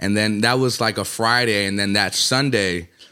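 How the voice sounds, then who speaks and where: Recorded very cleanly against a silent background, a man with an Atlanta accent speaks at a moderate pace in a fairly low pitch with ordinary pitch variation. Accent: Atlanta hip-hop American English. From US South, Atlanta (born in Colombia). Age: 20s. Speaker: rapper. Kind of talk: casual chat.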